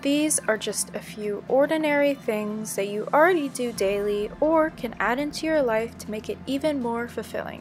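Over music in the background, a woman with an American accent speaks at a moderate pace in a high voice. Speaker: vlogger, artist. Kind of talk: vlog voiceover.

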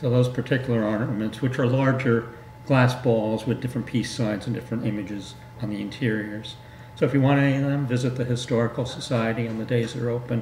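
A man at a very fast pace in a monotone, flat intonation, with audible room echo and light background noise. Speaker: guest. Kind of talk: interview answer. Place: studio.

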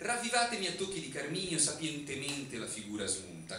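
A man's fairly quick speech with very wide pitch swings, audible room echo, and light background noise. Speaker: writer. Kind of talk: poetry reading. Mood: ironic, theatrical. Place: stage.

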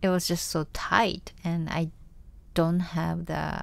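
Very slow speech from a woman with a Japanese accent. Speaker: singer. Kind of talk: casual chat.

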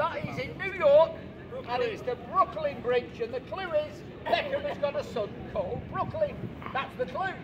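A man talks at a moderate pace, his pitch swinging very widely. Noticeable background noise runs behind him. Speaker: street preacher. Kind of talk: street preaching to passers-by, quiz-style. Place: street. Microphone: camera far.

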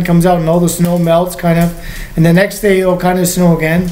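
This is a man. His voice sits at a high pitch for a man. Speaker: vlogger. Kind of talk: casual vlog chat. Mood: relaxed evening chat. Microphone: webcam.

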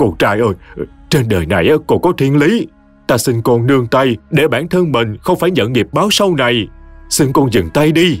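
A man does a shaky, put-on character voice at a medium pitch with very wide pitch swings. His pace is moderate, his loudness very even, and music plays in the background. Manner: pleading.

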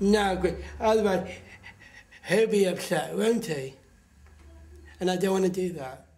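A man's high voice at a fairly slow pace, with long, frequent pauses and ordinary pitch variation. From Somerset, England. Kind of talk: interview answer.

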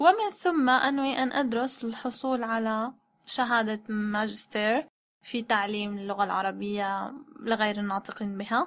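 Her pitch fairly high, a woman speaks at a fairly slow pace with ordinary pitch variation. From Syria, Damascus. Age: 20s. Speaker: translator and Arabic tutor. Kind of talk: language-learning self-introduction in Modern Standard Arabic. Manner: halting, with pauses.

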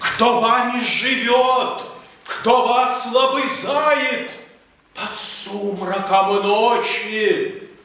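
A man speaks at an extremely high pitch and a very slow pace, with very wide pitch swings. Strong room echo and light background noise surround his voice. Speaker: poetry reader. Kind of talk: poetry reading. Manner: passionate.

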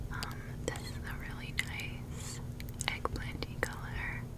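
A woman whispers over noticeable background noise. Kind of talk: ASMR show and tell, casual talk to camera. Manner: soft-spoken, whispered.

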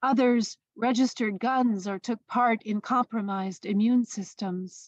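Over a quiet background, a woman with a plain, everyday voice speaks at a fairly slow pace in a fairly high pitch, her intonation fairly even and the sound dry and close with no echo. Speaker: poet. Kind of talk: radio interview.

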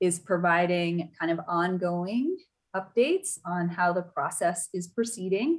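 Fairly slow and fairly low-pitched, a woman speaks against a quiet background. Her intonation stays fairly even. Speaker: chair of a citizen oversight board. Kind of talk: virtual public meeting moderation. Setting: video call. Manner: halting, many fillers. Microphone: video call.

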